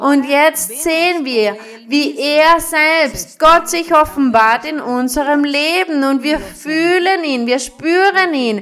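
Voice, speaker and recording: A woman at a high pitch with ordinary pitch variation and a very slow pace, against noticeable background noise. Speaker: preacher. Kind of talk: sermon. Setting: church with congregation. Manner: fervent, rhythmic preaching with blessing phrases; didactic, explaining scripture verse by verse.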